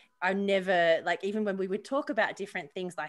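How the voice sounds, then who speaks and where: At a fairly quick pace, a woman with a normal speaking voice talks at a medium pitch with ordinary pitch variation. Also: very clean recording, silent background. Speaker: podcast co-host; mother. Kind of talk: casual podcast conversation.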